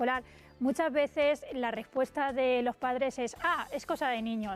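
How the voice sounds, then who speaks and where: A woman's high-pitched voice with fairly even intonation, on a very clean recording with a silent background. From Spain, Valencia and Albacete (Tarazona de la Mancha). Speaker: teacher and author. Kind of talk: radio interview.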